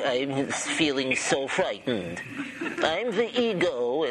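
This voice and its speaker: Over loud background noise, a man puts on a character voice with a fairly high pitch, speaking at a fairly slow pace. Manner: mopey, miserable.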